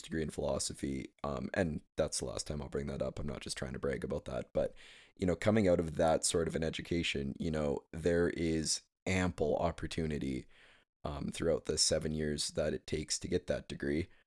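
A man speaks with a very deep, low pitch and some vocal fry. His intonation stays fairly even at a moderate pace. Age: 20s. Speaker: podcast host. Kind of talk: solo podcast monologue. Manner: hesitant with many fillers.

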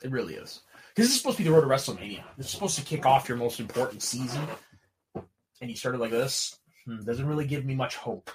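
A somewhat breathy man at a medium pitch talks at a very fast pace, his intonation lively and his loudness swinging widely. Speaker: wrestling podcast co-host. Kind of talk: casual chat.

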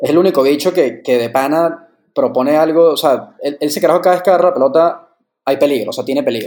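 Talking at a very fast pace, a man with a Venezuelan accent has a fairly high pitch and ordinary pitch variation. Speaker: podcast co-host. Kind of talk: casual chat.

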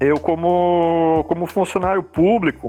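This is a man speaking. His pitch is high. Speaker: comics artist and illustrator. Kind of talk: casual chat.

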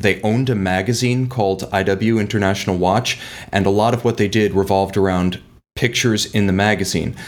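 A man with an ordinary speaking voice, fairly low in pitch, with ordinary pitch variation. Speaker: watch company media director. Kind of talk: interview.

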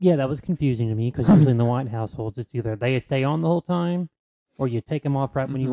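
A man with a Southern US accent, medium pitch, and a dark, mellow tone, talking very fast in a playful way, the sound dry and close with no echo. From North Carolina, US South. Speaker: podcast co-host. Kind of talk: casual chat. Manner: joking, playful.

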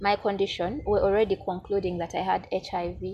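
Noticeable background noise behind a woman at a moderate pace and medium pitch. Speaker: YouTuber and procurement officer. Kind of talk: interview conversation. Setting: studio. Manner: hesitant.

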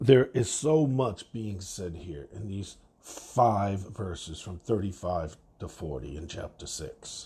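Speaking at a very slow pace with hardly any pauses, a man uses a fairly low, somewhat breathy voice with a dark, mellow tone, lively intonation and big swings in loudness. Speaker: devotional podcast host. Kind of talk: bible devotional.

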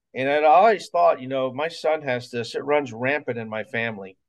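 With an American accent, someone talks at a moderate pace in a plain, everyday voice with ordinary pitch variation. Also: man. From US South, Mobile, Alabama. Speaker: music teacher and martial arts instructor. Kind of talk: interview.

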